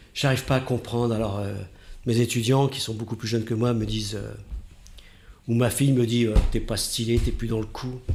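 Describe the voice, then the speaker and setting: A man at a medium pitch, monotone and flat, at a moderate pace with long, frequent pauses. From northern France, Oise. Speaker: radio host. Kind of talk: interview.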